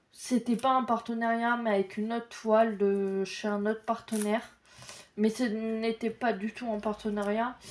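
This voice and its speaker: At a fairly slow pace, a woman talks in a fairly high pitch with monotone, flat intonation. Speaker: crafts YouTuber. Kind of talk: casual unboxing video. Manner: hesitant, many filler sounds.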